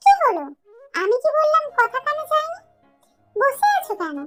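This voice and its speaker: Over faint music in the background, a woman puts on a squeaky character voice at a moderate pace. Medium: read story. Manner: curt, authoritative.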